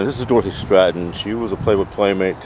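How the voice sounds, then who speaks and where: Noticeable background noise runs under a man's very deep, low voice, fairly quick and fairly even in intonation, with a dry sound and no echo. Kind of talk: casual vlog chat. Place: open country. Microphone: phone near.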